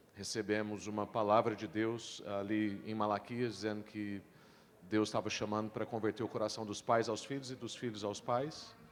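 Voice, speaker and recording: A man with a normal speaking voice, medium pitch and a moderate pace. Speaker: pastor. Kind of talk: panel discussion.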